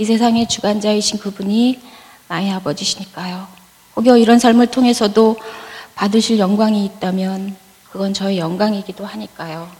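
A woman of medium pitch at a moderate pace, with fairly even intonation and noticeable background noise. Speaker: church member giving testimony. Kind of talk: testimony. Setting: church. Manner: read from prepared text.

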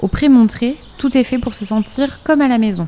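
Her tone dark and mellow, a woman talks at a moderate pace with ordinary pitch variation. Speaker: podcast host, narrator. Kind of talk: scripted narration.

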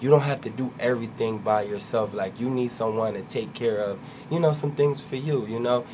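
A man with an American accent, medium pitch, fairly even intonation and a fairly quick pace, over noticeable background noise. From Trenton, New Jersey. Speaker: web series creator and producer. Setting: radio studio.

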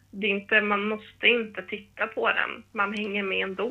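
Over music in the background, a woman talks at a moderate pace and a medium pitch. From northern Sweden, Härnösand. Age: 20s. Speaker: preschool teacher. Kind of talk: casual chat.

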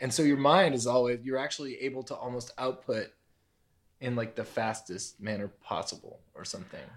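A man talks in a normal speaking voice at a medium pitch. He moves at a fairly quick pace with ordinary pitch variation. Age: 30s. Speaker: podcast host and comedian. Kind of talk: casual interview chat.

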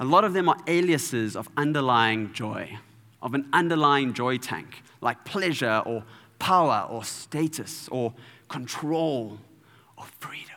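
A man with a fairly high pitch and a bright, sharp tone speaks at a fairly slow pace with lively intonation. His loudness swings widely. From South Africa, Durban. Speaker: preacher. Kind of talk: sermon. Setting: church.

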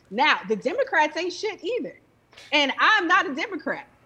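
A woman's raised, projected voice, fairly quick and animated, with very wide pitch swings over noticeable background noise. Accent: American. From Chicago. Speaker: movement journalist and retired attorney. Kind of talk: heated debate.

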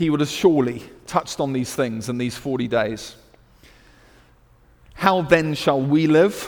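A man with a British accent speaks at a fairly high pitch with ordinary pitch variation. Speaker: preacher. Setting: church service. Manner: energetic, exhortational preaching.

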